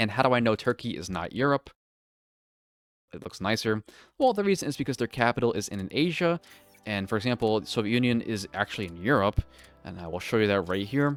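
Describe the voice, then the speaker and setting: A man with a strong American accent speaks at a medium pitch and a fairly quick pace, with lively intonation, big swings in loudness, and long, frequent pauses. The sound is dry and close with no echo, and music plays in the background. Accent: thick American. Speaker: video game streamer. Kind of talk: gameplay tutorial. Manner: fast; animated.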